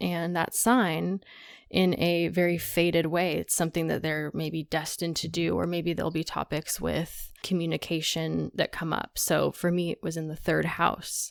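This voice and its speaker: Recorded very cleanly against a silent background, a woman with an unremarkable speaking voice and a fairly low pitch talks at a fairly slow pace. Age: 20s. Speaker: astrologer. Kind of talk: casual chat.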